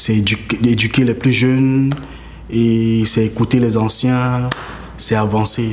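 Noticeable background noise sits behind a man's voice. He speaks at a very slow pace with monotone, flat intonation. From Cameroon. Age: 30s. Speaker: visual artist and body painter. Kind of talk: interview. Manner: halting, with repetitions.

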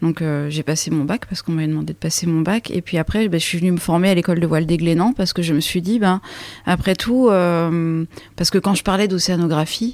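An unremarkable speaking voice with ordinary pitch variation moves along at a fairly quick pace. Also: woman, fairly low pitch for a woman. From France, Champagne (Troyes). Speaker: sailor and expedition leader. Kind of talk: storytelling interview.

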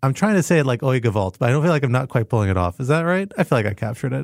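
His pitch swings very widely around a medium level for a man. The recording is very clean, with a silent background. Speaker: national security podcast host. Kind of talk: casual panel discussion of news. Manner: fast.

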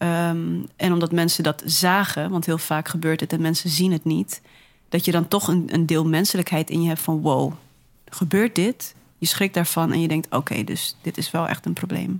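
Over a very clean recording with a silent background, a woman with an ordinary speaking voice speaks at a moderate pace, fairly low in pitch with fairly even intonation. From Groningen, Netherlands. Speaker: musician. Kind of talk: casual interview chat.

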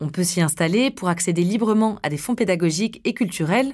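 Here is a woman with an ordinary speaking voice, talking at a fairly quick pace with lively intonation. The recording is very clean, with a silent background. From Grenoble area, Rhône-Alpes, France. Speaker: podcast host, reporter. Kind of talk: scripted narration.

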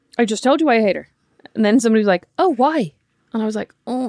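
Woman with an Irish accent, fairly high-pitched, at a fairly quick pace, with a dry, close sound and no echo. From Ireland. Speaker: podcast host. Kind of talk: casual chat.

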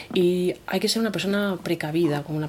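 A woman's fairly low voice is heard with noticeable background noise behind it. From Spain, Murcia. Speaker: campsite owner. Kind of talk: interview.

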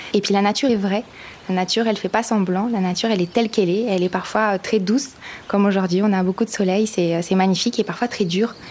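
A woman's medium-pitched voice at a very fast pace, with very even loudness and fairly even intonation. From France, Vosges. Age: 20s. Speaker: presidential candidate. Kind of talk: interview. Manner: hesitant, many fillers.

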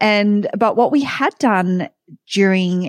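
A woman speaks with an Australian accent, and the sound is dry and close with no echo. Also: very clean recording, silent background. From Sydney, Australia. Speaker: tech company founder and CEO. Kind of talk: casual interview chat.

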